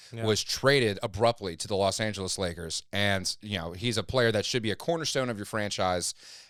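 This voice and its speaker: An ordinary speaking voice from a fairly low-pitched man with an American accent, fairly quick, with ordinary pitch variation, on a very clean recording with a silent background. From Louisiana, USA (Lafayette). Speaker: podcast host. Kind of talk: podcast host interview question. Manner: conversational, rambling, fast.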